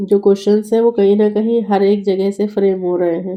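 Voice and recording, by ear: A woman speaks at a moderate pace with a medium pitch and a dark, mellow tone.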